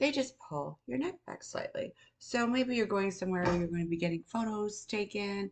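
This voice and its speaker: A woman with a plain, everyday voice speaks at a moderate pace and medium pitch, her intonation lively. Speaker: beauty and skincare content creator. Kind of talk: casual talk to camera, beauty tutorial. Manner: friendly, conversational, explanatory.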